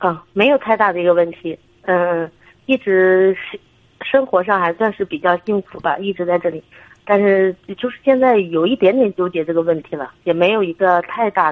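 Ordinary pitch variation marks a woman's medium-pitched voice as she talks at a moderate pace. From Shandong. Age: 30s. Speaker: military wife, caller. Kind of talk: phone-in consultation. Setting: phone call. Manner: hesitant.

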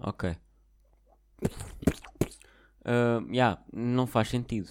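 A man with a European Portuguese accent is heard on a very clean recording with a silent background. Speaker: podcaster. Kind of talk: casual monologue. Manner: halting.

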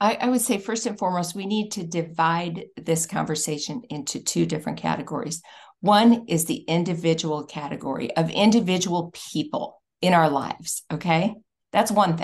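Against a quiet background, a woman with a fairly low pitch and a somewhat breathy voice talks at a moderate pace with ordinary pitch variation. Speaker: policy advocate. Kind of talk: interview conversation.

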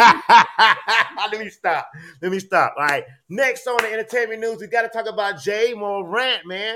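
Raising and projecting his high voice, a man talks at a fairly slow pace with ordinary pitch variation and big swings in loudness. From US Gulf Coast (Biloxi area). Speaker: podcast host. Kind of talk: casual chat. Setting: livestream. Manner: animated.

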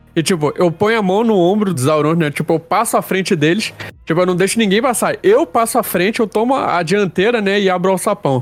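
A man with a Rio de Janeiro accent speaks at a high pitch and a fairly quick pace. His loudness stays very even, with hardly any pauses. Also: ordinary pitch variation. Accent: carioca. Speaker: RPG player. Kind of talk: tabletop roleplay in character.

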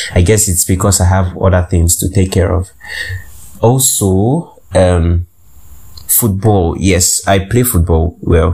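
Over noticeable background noise, a man speaks at a very slow pace in a very deep, low pitch. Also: fairly even intonation, very even loudness. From Nigeria. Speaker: podcast host. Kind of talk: casual monologue. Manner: hesitant, many fillers.

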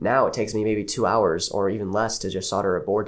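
A man's fairly low voice at a very fast pace. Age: 20s. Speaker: small business owner making replica lightsabers. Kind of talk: casual interview.

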